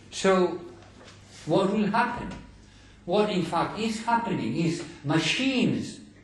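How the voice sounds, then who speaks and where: A man speaks at a very slow pace with lively intonation. Noticeable background noise and audible room echo fill the recording. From Greece. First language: Greek. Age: 70s. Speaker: scholar lecturer. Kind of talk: lecture.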